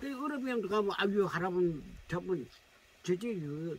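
A high-pitched man speaks in a raised, projected voice. The sound is dry, with no echo. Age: old. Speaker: mountain-dwelling slash-and-burn farmer; rural elder host. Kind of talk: casual chat; casual conversation. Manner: halting. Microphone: camera far.

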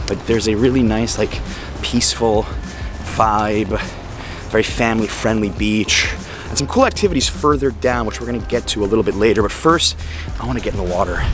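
Over clear background music, a man talks at a fairly quick pace in a dry recording with no echo. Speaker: travel vlogger. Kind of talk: casual vlog chat. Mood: upbeat, relaxed. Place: beach. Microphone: phone near.

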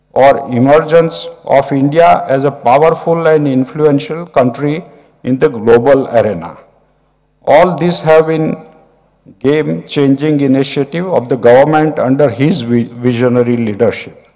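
The pace is fairly slow, and a man is talking with ordinary pitch variation. Behind him, it is quiet. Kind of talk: formal speech. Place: hall. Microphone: podium.

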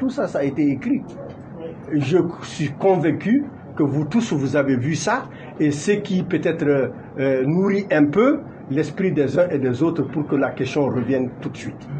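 The speaker goes at a fairly slow pace with long, frequent pauses. Light background noise runs underneath. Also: man. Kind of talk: press statement, argumentative. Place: meeting room.

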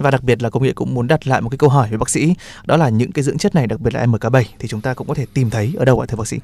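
A man talks at a very fast pace with ordinary pitch variation, his voice dry and free of echo. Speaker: radio host. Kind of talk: radio health show hosting. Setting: studio. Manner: formal. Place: studio.

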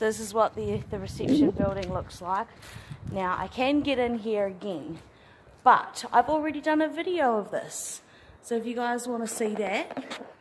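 Noticeable background noise sits behind a woman who speaks at a moderate pace. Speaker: urban explorer vlogger. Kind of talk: casual vlog chat. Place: street. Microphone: phone near.

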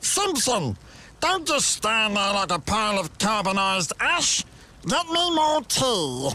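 A put-on character voice with a fairly high pitch moves at a fairly slow pace through very wide pitch swings. Light background noise can be heard. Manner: grandiose, haughty, blustering.

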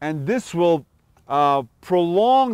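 A man's voice, dry with no echo, over a quiet background. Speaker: fishing show host. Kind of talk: tutorial. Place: street. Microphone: lapel.

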